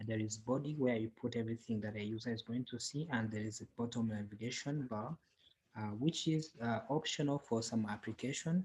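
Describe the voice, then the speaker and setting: This man speaks with a non-native accent at a fairly quick pace. His medium-pitched voice is somewhat breathy, with ordinary pitch variation. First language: not English. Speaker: software developer and tutorial creator. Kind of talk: tutorial. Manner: halting, many fillers.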